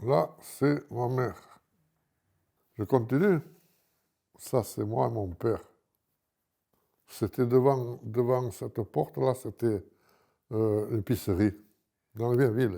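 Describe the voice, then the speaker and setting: On a very clean recording with a silent background, a man with a medium pitch and a dark, mellow tone talks at a very slow pace, leaving long, frequent pauses, his pitch varying in an ordinary way. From Menton, southern France. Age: 80s+. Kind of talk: interview answer. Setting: outdoors. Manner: casual, colourful.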